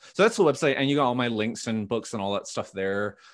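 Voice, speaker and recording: Over a very clean recording with a silent background, a man with a Western Canadian accent speaks in a fairly low pitch with fairly even intonation. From Canada, Vancouver. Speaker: pastor. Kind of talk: casual chat.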